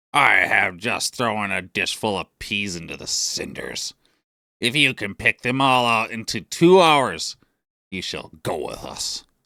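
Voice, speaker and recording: Putting on a character voice, a man talks in a raspy tone at medium pitch and a fairly slow pace. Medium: read story. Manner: scornful.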